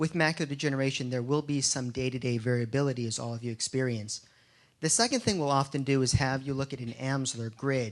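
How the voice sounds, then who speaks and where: Against a quiet background, a man with a medium pitch speaks at a very fast pace with fairly even intonation. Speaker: retina doctor. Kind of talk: lecture.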